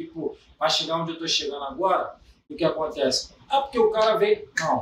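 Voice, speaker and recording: At a moderate pace, a man talks. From Belford Roxo, Rio de Janeiro, Brazil. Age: 30s. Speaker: funk MC. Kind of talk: casual chat.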